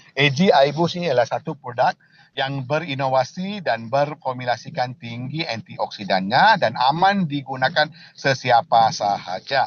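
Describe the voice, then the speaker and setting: The speaker uses lively intonation with a non-native accent. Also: man. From Malaysia. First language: not Indonesian (speaking Indonesian). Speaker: company director presenting products. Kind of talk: product presentation. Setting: video call. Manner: halting, many fillers.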